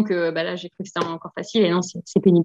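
Energetic in tone, a woman speaks at a very fast pace. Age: 30s. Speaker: physiotherapist and property investor. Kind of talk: interview.

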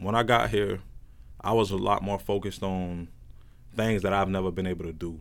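A man talks at a moderate pace with a very deep, low pitch. His intonation stays fairly even. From central Florida (Plant City). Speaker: college student. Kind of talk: casual chat.

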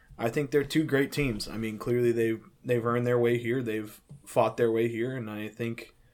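At a fairly quick pace, a man with an unremarkable speaking voice keeps a medium pitch and fairly even intonation. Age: 20s. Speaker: podcast co-host. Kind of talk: casual chat.

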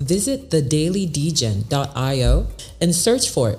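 A woman's animated, playful tone over music in the background. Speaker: podcast host. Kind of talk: casual banter, with a parody infomercial pitch. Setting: live broadcast on Twitter and radio. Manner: animated, playful, tongue-in-cheek salesy patter; fast, chatty, repeats phrases for comic effect.

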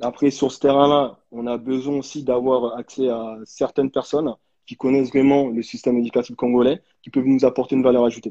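In a dry, close sound with no echo, a man speaks at a fairly quick pace with a medium-pitched, dark, mellow tone, monotone flat intonation and big swings in loudness. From France, raised from age 11 after birth in DR Congo. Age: 30s. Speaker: association founder. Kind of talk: live video interview.

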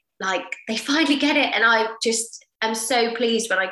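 A woman with a southern English accent, a bright, sharp tone, ordinary pitch variation and a moderate pace. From Portsmouth, southern England. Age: 30s. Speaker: personal trainer. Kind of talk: interview.

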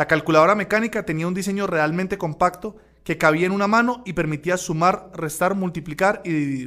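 Fairly quick and high-pitched, a man speaks in a bright, sharp tone with ordinary pitch variation. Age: 40s. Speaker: radio host. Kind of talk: educational radio show.

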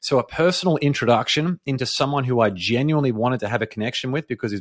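A man's medium-pitched voice at a very fast pace, with lively intonation, in a very clean recording with a silent background and a dry, close sound with no echo. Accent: Australian. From Australia. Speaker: podcast event organiser and mentor. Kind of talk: podcast interview.

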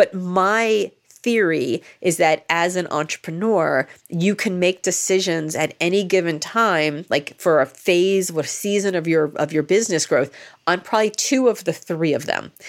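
A woman with a normal speaking voice talks at a moderate pace, her pitch fairly low and varying in an ordinary way. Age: 50s. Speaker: author and keynote speaker. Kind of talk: interview.

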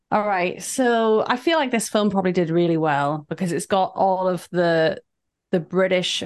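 A woman talks at a fairly slow pace with a medium pitch and an unremarkable speaking voice. The background is quiet.

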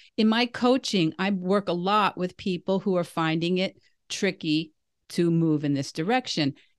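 A woman with an unremarkable speaking voice at medium pitch, moderate pace, ordinary pitch variation and very even loudness, dry and close with no echo over a quiet background. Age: 60s. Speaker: podcast host and vegan coach. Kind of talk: casual interview chat.

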